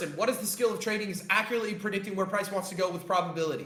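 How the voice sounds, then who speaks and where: A man speaks loudly in an animated tone. Audible room echo surrounds his voice. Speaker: trading coach. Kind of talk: live-stream lesson.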